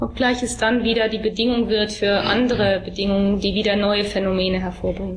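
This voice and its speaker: Over noticeable background noise, a woman speaks at a medium pitch in a monotone, flat intonation with very even loudness. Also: fairly quick pace. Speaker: interpreter. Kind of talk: consecutive interpreting of a talk.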